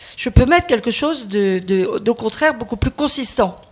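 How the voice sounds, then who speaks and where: Speaking at a moderate pace, the woman has a high pitch. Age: 60s. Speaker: teacher. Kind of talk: testimony. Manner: halting; animated.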